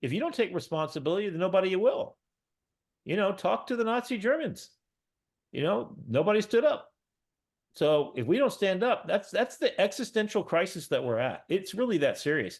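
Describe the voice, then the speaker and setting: A man's high-pitched, animated voice at a fairly quick pace, with very wide pitch swings, over a quiet background. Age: 60s. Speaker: professor. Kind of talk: panel discussion.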